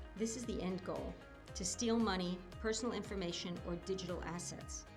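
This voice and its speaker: The speech moves at a moderate pace, with music in the background. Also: woman. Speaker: voice actor. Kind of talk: educational animation narration.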